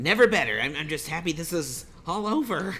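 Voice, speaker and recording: A put-on character voice at a middle pitch moves at a fairly quick pace over clear background noise. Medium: audio drama.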